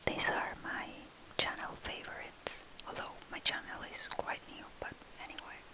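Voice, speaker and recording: Whispering from a woman at a moderate pace, big swings in loudness, audible room echo and noticeable background noise. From Argentina. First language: Spanish. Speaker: ASMR creator. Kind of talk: ASMR show-and-tell. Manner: soft-spoken.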